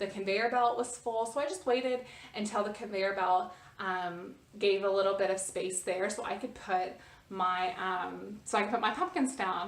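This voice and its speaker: A woman talks at a medium pitch with ordinary pitch variation. Room echo is audible. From United States. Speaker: vlogger. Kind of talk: casual storytelling vlog. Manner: hesitant, many fillers and repetitions.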